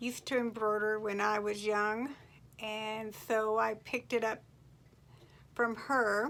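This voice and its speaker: A woman speaks at a very slow pace, her tone bright and sharp. Her intonation stays fairly even. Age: 60s. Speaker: farm wife and fiber crafter. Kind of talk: casual vlog introduction. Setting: home, quilting in background.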